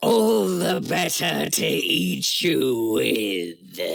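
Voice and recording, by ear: A man's raspy, growling put-on character voice, fairly low in pitch, at a very slow pace.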